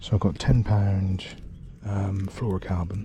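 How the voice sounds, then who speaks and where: Whispering at a fairly slow pace, a man with an English accent sounds somewhat breathy. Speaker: angling vlogger. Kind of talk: outdoor fishing vlog. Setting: outdoors.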